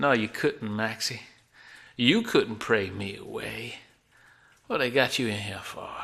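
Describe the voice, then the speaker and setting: Using a raspy put-on character voice at a medium pitch, a man speaks at a fairly slow pace with long, frequent pauses. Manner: menacing, mocking.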